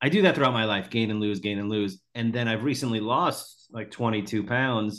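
This man has a plain, everyday voice at a medium pitch, speaking at a moderate pace with ordinary pitch variation and hardly any pauses. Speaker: podcast host, comedian. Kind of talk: casual interview chat.

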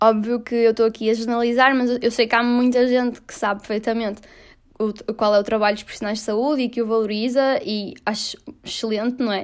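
A woman in a European Portuguese accent, monotone and flat in intonation. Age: 20s. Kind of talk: solo opinion monologue. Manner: casual, with many fillers.

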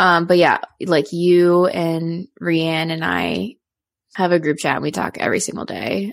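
Here is a woman with an unremarkable speaking voice, fairly low in pitch with ordinary pitch variation. She talks at a moderate pace on a very clean recording with a silent background. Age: 20s. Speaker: podcast co-host. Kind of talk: casual chat.

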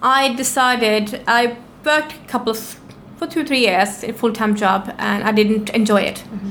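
Big swings in loudness and ordinary pitch variation mark this moderately paced speech, heard over noticeable background noise. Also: woman, fairly high pitch for a woman. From Norway. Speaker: business owner. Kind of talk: interview.

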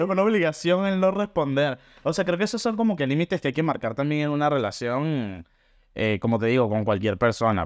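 A man with a fairly high pitch talks at a fairly quick pace with very wide pitch swings against a quiet background. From Venezuela, Caracas. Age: 20s. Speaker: podcast co-host. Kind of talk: casual chat.

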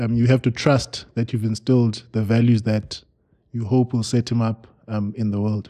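Dark and mellow in tone, a man's voice sits at medium pitch. He keeps a moderate pace with monotone, flat intonation. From South Africa, Eastern Cape. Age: 40s. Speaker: NGO founder and father. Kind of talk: casual chat.

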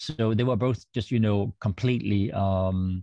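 With a Danish accent, a man speaks at a very slow pace in a fairly low pitch with a dark, mellow tone and fairly even intonation, the sound dry and close with no echo against a quiet background. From Denmark, rural western. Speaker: author and theologian. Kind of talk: interview, personal story.

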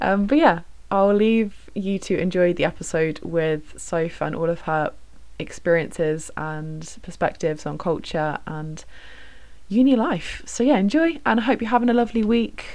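A woman with a British accent, medium in pitch, at a moderate pace with lively intonation. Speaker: podcast host, student. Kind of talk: casual chat. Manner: chatty, warm.

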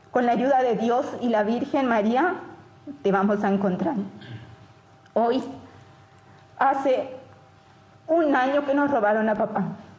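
A woman's high voice at a very slow-ish, fairly slow pace, with very even loudness, ordinary pitch variation, long and frequent pauses, noticeable background noise and audible room echo. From Paraguay. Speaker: daughter of a kidnapping victim. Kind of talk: public statement. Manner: formal.

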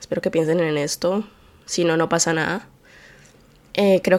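This is a woman speaking. Her pitch is fairly low for a woman. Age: 20s. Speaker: podcast host. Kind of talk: solo monologue podcast. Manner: low-energy; distracted.

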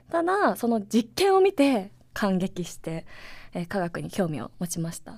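The pace is fairly slow. Loudness swings widely. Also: woman. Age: 30s. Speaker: science communicator and associate professor. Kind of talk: casual podcast monologue. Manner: animated.

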